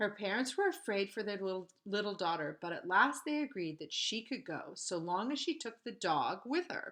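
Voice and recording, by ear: With lively intonation, a text is read aloud in a natural voice.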